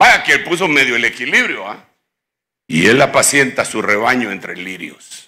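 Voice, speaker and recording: Against a quiet background, a man talks at a moderate pace with a medium pitch. His tone is bright and sharp, his intonation lively. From Guatemala. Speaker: pastor. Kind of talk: sermon. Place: church. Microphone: handheld.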